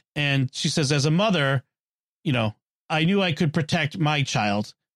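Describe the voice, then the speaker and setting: A normal speaking voice at a moderate pace with ordinary pitch variation, dry and close with no echo. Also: man. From US Northeast, Boston. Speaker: podcast host. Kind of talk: casual chat.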